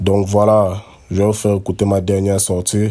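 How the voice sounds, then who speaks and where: The voice has a dark, mellow tone and a monotone, flat intonation. It moves at a fairly slow pace. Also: man. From Cameroon, Yaoundé. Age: 20s. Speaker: rapper. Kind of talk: recorded self-introduction.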